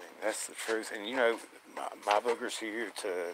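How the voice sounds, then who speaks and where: A man speaks with an Appalachian accent. Noticeable background noise runs underneath. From Appalachian Kentucky. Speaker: bigfoot enthusiast, channel owner. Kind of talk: live stream chat. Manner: casual, halting.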